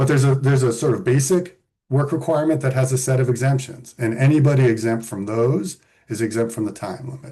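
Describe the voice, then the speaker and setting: A man speaks at a very fast pace in a dark, mellow, somewhat breathy voice. His pitch sits at medium with ordinary variation. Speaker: policy expert presenting on benefit rules. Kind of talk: webinar presentation with slides.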